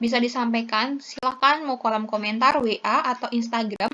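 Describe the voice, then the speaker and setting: A woman with a high pitch and fairly even intonation at a fairly quick pace. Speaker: pharmacist tutor. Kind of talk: tutorial. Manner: halting; casual.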